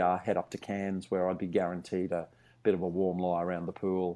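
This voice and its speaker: A very fast man with a dark, mellow tone and an Australian accent, against a quiet background. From Australia, Brisbane. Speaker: TV historian. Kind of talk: interview.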